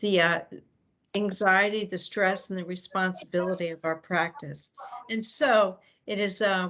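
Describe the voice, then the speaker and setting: A woman with a bright, sharp tone speaks at a medium pitch and a fairly slow pace, her intonation fairly even. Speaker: faith community nurse. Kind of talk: opening reflection at online meeting. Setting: video call.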